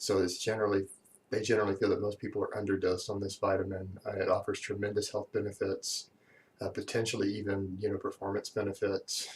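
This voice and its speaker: A quiet man with an American accent talks at a very fast pace. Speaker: fitness YouTuber. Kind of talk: Q&A monologue. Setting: at home. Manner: quiet, subdued.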